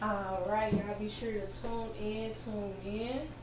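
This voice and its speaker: Audible room echo around a woman's fairly even intonation. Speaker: podcast host. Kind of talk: interview. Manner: loud.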